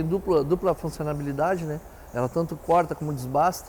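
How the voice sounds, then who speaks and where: A man's monotone, flat intonation stays at a fairly high pitch as he speaks at a moderate pace. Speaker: industrial company representative. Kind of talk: interview answer.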